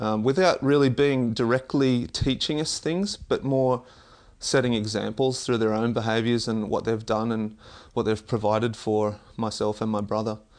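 Speaking at a moderate pace, a man with an Australian accent keeps a medium pitch. His intonation is fairly even against a quiet background. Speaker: Olympic discus thrower and athletics coach. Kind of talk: interview. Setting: in person, at a track and field club.

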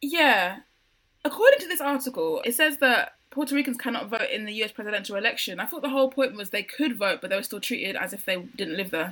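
A woman with a London accent talks at a very fast pace and a high pitch, with lively intonation and big swings in loudness. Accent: British (London). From UK. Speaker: podcast co-host. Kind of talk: casual chat.

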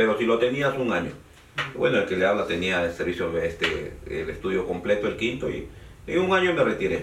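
Over noticeable background noise and audible room echo, a man delivers his words at a fairly quick pace. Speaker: lawyer. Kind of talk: interview. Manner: halting.

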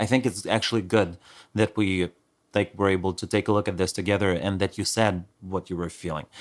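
A man's very deep, low voice with a non-native accent, fairly even intonation and a fairly quick pace, in a very clean recording with a silent background. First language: not English. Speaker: podcast co-host. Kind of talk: casual chat.

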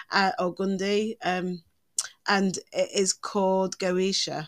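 Medium in pitch, a woman's voice comes through a very clean recording with a silent background and a dry, close sound with no echo. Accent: English. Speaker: podcast co-host, witch. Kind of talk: casual chat.

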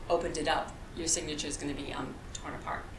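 A woman races along at a very fast pace, with audible room echo and noticeable background noise. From US Midwest, rural Illinois. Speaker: political candidate. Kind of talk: interview.

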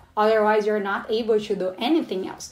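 A woman's fairly high voice in a Portuguese accent. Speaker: postdoctoral researcher, entomologist. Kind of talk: casual podcast interview.

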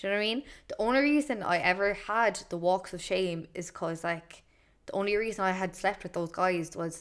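A woman with an Irish accent speaks at a moderate pace in a fairly low voice. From Ireland. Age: 20s. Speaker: podcaster. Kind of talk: casual monologue. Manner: casual, filler-heavy.

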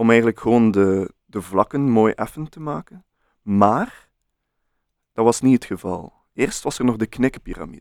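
With a Flemish accent, a man at medium pitch speaks at a moderate pace with ordinary pitch variation and big swings in loudness, on a very clean recording with a silent background and a dry, close sound with no echo. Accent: Flemish Dutch. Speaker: podcast co-host. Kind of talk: casual chat.

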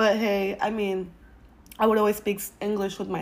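A medium-pitched woman's voice in a Spanish accent, at a moderate pace. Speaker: podcast host. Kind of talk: casual advice monologue.

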